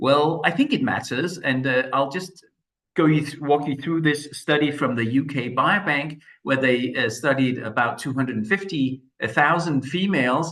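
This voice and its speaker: A man's fairly high, bright, sharp voice with a Danish accent, ordinary pitch variation and a fairly slow pace. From Denmark. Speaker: medical expert. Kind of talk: lecture.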